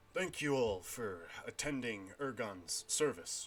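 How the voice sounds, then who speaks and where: A man's gruff, put-on character voice at a medium pitch and a fairly slow pace. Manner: soft-spoken, solemn.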